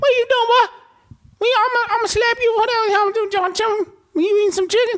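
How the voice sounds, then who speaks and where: A squeaky, extremely high-pitched put-on character voice at a fairly quick pace. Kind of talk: casual slang, colloquial. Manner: scolding, comedic.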